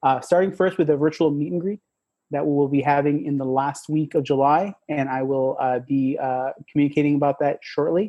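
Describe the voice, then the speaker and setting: A man talks with fairly high pitch and fairly even intonation. His pace is fairly quick. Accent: slight Spanish. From Mexico, small town. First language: Spanish. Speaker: tech product manager. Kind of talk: podcast interview. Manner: halting, many repetitions and fillers.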